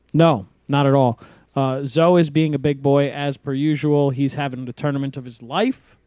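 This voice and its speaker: Speaking at a moderate pace, a man with an unremarkable speaking voice and fairly high pitch keeps his intonation fairly even while his loudness swings widely. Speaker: podcast host. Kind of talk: casual chat.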